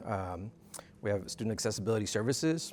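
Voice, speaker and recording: In a Spanish accent, a man delivers his words fairly quickly. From Texas–Mexico border (Rio Grande Valley). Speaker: university dean of students. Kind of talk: interview. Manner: halting, many fillers.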